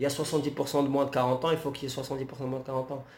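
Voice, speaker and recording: A man's monotone, flat delivery at a fairly quick pace. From Algeria, Algiers. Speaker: journalist and poet, activist. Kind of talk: interview.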